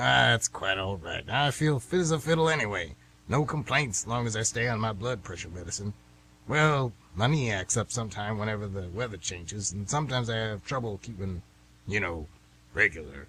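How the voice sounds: A man's put-on character voice, fairly low in pitch, bright and sharp in tone with a slightly husky edge, lively intonation and a moderate pace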